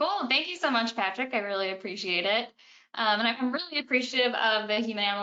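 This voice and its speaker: Speaking at a fairly quick pace, a woman has a plain, everyday voice, fairly high in pitch, with ordinary pitch variation. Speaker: animal behavior consultant and trainer. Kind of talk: webinar presentation. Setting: online webinar.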